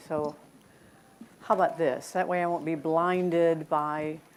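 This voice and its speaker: A fairly slow pace with audible room echo. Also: woman. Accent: American. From United States. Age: 70s. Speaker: conference keynote speaker. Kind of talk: keynote talk. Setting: stage with audience. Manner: animated.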